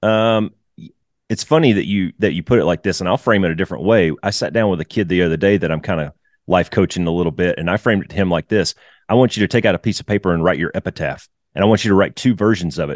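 The man's voice is very deep and low and moves at a very fast pace. The sound is dry and close, with no echo. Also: ordinary pitch variation, quiet background. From US South. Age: 40s. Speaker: retired fighter pilot and flight instructor. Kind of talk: casual interview.

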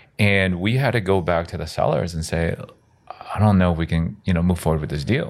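Amid noticeable background noise, a man with a very deep, low pitch talks at a very fast pace, broken by long, frequent pauses. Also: ordinary pitch variation. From South America-born Korean American. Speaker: real estate investor. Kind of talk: casual chat.

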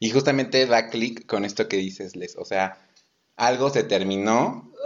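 A man speaks at a fairly slow pace in an ordinary speaking voice. His pitch is medium. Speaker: podcast co-host. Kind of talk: casual chat.

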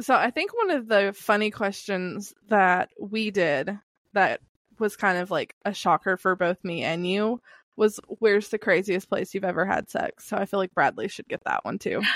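Recorded very cleanly against a silent background with a dry, close sound and no echo, a woman with a Southern US accent speaks at a medium pitch, moderate pace and fairly even intonation. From Kentucky, US South. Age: 30s. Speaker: podcast host. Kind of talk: casual chat.

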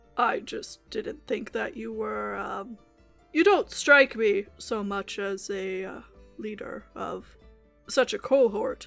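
Using a put-on character voice, a woman speaks at a very slow pace as faint music plays in the background. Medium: actual play. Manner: dry, wry, measured.

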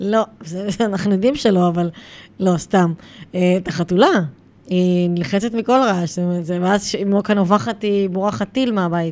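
A woman talks in a plain, everyday voice at medium pitch. She keeps a fairly slow pace. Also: ordinary pitch variation. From Israel, Gaza border area. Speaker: podcast host and dog behavior trainer. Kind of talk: casual interview chat.

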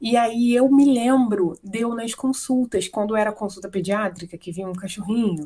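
A woman's fairly high, somewhat breathy voice with a dark, mellow tone, moderate pace, ordinary pitch variation and hardly any pauses. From Brazil, Paraná. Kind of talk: interview.

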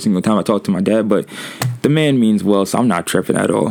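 Speech at a very fast pace comes through noticeable background noise. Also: man. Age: 20s. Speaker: podcast host. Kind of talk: casual solo monologue. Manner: casual, hesitant with fillers.

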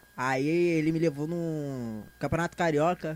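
A man with a São Paulo accent speaks at a fairly high pitch with ordinary pitch variation. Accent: sounds like a São Paulo speaker. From Brazil, Rio de Janeiro (São João de Meriti, Baixada). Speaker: stand-up comedian. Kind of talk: casual chat. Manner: animated.

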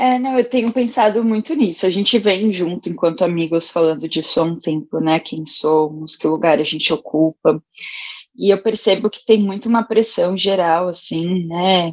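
With an ordinary speaking voice, she sits at a medium pitch. Her intonation is lively, and her speed is moderate. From São Paulo, Brazil (Itaim Paulista, east zone). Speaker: art educator. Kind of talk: casual chat.

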